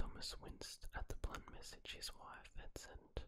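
A soft-spoken man is whispering. Noticeable background noise can be heard behind him. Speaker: story narrator. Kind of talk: story narration. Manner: soft close-mic ASMR whisper. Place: home room. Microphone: studio mic.

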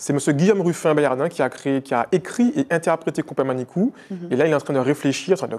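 This man talks at a fairly quick pace with a fairly high pitch. His pitch varies in an ordinary way. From Martinique. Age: 30s. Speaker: entrepreneur; interview guest. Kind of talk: interview. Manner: hesitant, with many fillers. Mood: calm, reflective. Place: studio. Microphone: lapel.

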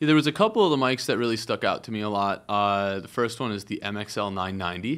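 A man's fairly low voice at a very fast pace. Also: ordinary pitch variation. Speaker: guest. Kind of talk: interview answer. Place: studio. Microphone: studio mic.

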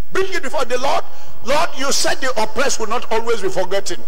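A man talks at a moderate pace. His pitch swings very widely. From Nigeria. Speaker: preacher. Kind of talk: sermon. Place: church. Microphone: handheld.

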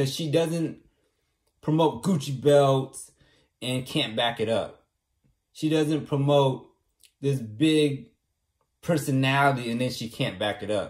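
Against a quiet background, a somewhat breathy man speaks very slowly, with ordinary pitch variation and long, frequent pauses. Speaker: vlogger. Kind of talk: casual vlog chat. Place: home room. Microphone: phone near.

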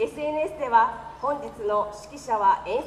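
A woman speaks at a high pitch. Light background noise and audible room echo are present. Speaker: concert emcee. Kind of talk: formal event announcement. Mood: polite and cheerful. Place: street. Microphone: pa.

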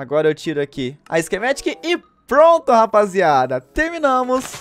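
A man speaks with very wide swings in pitch. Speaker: gaming streamer. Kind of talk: gameplay commentary. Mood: happy, relieved. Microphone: studio mic.

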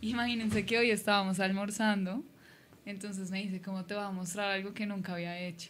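A woman talks at a fairly quick pace in a monotone, flat intonation. Her voice is somewhat breathy, with light background noise. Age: 20s. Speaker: streamer's girlfriend, social media creator. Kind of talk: casual livestream chat. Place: home room. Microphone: studio mic.

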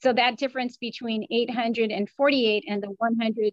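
Against a quiet background, a woman talks at a fairly slow pace with fairly even intonation and a dry sound with no echo. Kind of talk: interview answer. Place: office. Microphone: video call.

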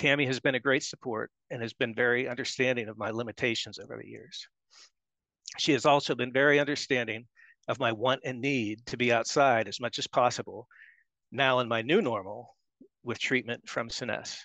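A man with an American accent talks at a fairly quick pace with fairly even intonation. The sound is dry with no echo, and the background is quiet. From US, Pittsburgh area. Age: 50s. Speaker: patient. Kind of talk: testimony. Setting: video call. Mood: calm, earnest. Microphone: headset.

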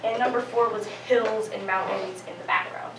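Against noticeable background noise and audible room echo, a woman speaks with ordinary pitch variation. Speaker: presenter. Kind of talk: class presentation. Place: classroom. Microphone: camera far.

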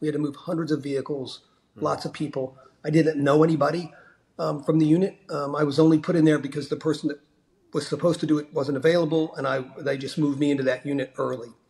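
Speaking at a very fast pace, a man sounds somewhat breathy and keeps a monotone, flat intonation. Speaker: remote podcast guest. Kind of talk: interview answer. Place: home room. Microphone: video call.

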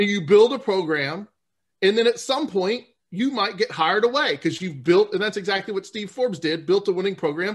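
With an American accent, a man talks at a fairly quick pace in a high voice, his pitch varying normally against a quiet background. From US South, New Orleans. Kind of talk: interview.

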